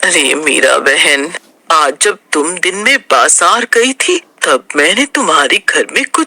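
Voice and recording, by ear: A man speaks at a fairly slow pace in a cartoonish character voice.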